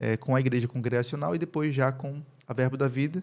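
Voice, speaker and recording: Speaking at a moderate pace, the man has a fairly high pitch. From Northeast Brazil, Campina Grande, Paraíba. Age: 30s. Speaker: pastor and university professor. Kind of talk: podcast interview.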